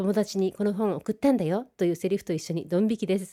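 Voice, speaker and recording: A woman's very fast, medium-pitched voice with a dark, mellow tone, dry and close with no echo, on a very clean recording with a silent background. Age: 30s. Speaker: internet radio host. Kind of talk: radio monologue reading listener mail.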